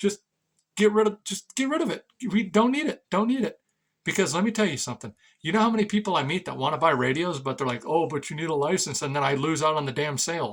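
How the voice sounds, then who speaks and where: A man with an American accent, high-pitched, with lively intonation and a very fast pace. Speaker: ham radio hobbyist and radio seller. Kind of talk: casual rant to camera. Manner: halting, repetitive.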